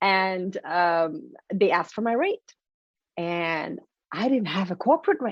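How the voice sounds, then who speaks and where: A woman's medium-pitched voice with a French accent, an animated tone, ordinary pitch variation and a fairly slow pace. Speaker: motivational speaker and author. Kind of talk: interview. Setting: podcast.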